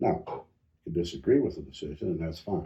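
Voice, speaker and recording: Very deep and low, a man's somewhat breathy voice has a dark, mellow tone and a flat, monotone delivery. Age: 70s. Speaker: county commissioner. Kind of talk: casual interview.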